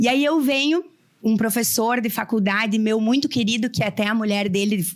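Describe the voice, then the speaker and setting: On a very clean recording with a silent background, a woman with a Porto Alegre accent speaks at a fairly quick pace, her fairly high pitch showing ordinary pitch variation. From Rio Grande do Sul, Brazil (small town in the north of the state). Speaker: lawyer. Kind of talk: panel talk. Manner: animated storytelling.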